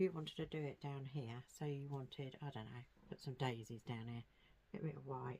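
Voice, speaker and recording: Quiet mumbling at a moderate pace. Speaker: craft tutorial creator. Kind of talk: tutorial. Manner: mumbling, quiet; casual, chatty.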